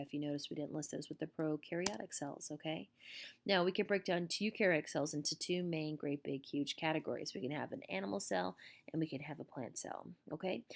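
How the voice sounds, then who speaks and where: A woman with a very deep, low pitch, ordinary pitch variation and a very fast pace, on a very clean recording with a silent background. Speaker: teacher. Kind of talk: lecture. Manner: casual, filler-heavy.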